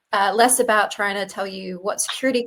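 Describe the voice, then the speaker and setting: A woman speaks at a fairly quick pace with an Australian accent. Her pitch sits fairly high. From Australia, Sydney. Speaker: data privacy company co-founder. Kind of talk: interview. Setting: remote call.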